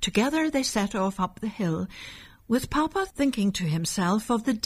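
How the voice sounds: The intonation rises and falls in a lively way. This is a natural reading voice.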